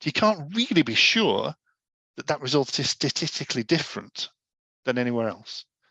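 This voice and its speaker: Against a quiet background, a man with a Yorkshire accent speaks in a bright, sharp tone, the sound dry and close with no echo. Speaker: data adviser giving education session. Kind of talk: informal lecture.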